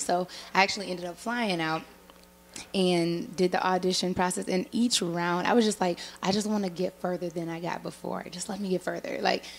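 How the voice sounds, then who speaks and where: Someone speaks with an American accent. The pace is fairly quick. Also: woman. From Minnesota, US. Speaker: singer-songwriter. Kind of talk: interview. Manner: casual, animated.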